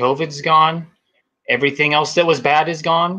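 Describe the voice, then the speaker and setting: The voice has an American accent and a bright, sharp tone. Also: man. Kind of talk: political panel discussion.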